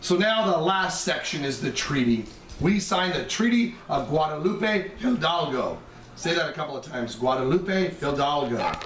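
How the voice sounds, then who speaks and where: Noticeable background noise and audible room echo surround a man with a high pitch. He speaks at a moderate pace with lively intonation. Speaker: history teacher. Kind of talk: lecture. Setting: recorded over slide presentation.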